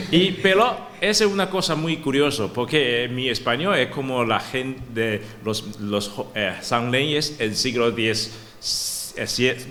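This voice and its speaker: Over noticeable background noise, a man speaks at a very slow pace in a medium pitch with lively intonation. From Taiwan. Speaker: professor. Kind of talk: academic talk. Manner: halting, stuttering restarts.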